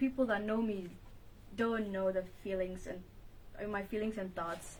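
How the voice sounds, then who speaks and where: There's a somewhat breathy quality to the woman's voice. She talks at a moderate pace. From Ethiopia. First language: Amharic. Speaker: self-published author. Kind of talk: interview.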